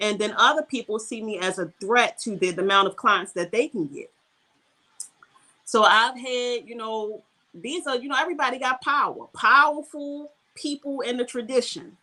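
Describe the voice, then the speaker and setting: A woman with an American accent speaks at a moderate pace in a high pitch with a bright, sharp tone. Her intonation is lively, and her loudness swings widely. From US, Baltimore, Maryland. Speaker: Ifa priestess, spiritual practitioner. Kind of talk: podcast interview conversation.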